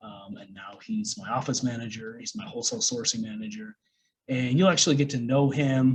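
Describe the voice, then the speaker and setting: Somewhat breathy speech with an American accent comes at a fairly quick pace. The loudness swings a lot. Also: man, medium pitch for a man. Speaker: online business coach. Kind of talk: course lecture. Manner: casual, many fillers.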